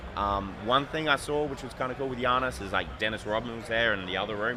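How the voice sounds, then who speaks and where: A man with an Australian accent talks at a very fast pace, with audible room echo and noticeable background noise. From Australia, Adelaide. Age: 30s. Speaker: sports card designer. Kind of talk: casual interview.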